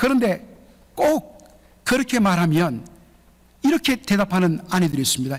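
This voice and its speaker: A man speaks with a Gyeongsang accent at a fairly slow pace. His pitch swings very widely. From Gyeongsang region, South Korea. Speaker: pastor. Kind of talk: sermon. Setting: church.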